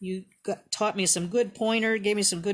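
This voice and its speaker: At a medium pitch and moderate pace, a woman talks in a normal speaking voice. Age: 60s. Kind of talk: live craft demonstration. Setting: live stream in online group. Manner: casual, chatty.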